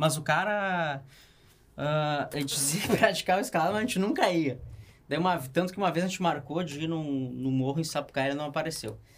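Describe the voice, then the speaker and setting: This is a man with a plain, everyday voice. His pitch variation is ordinary. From Canoas, Rio Grande do Sul, Brazil. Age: 30s. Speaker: rock climber. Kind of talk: casual chat. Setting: studio.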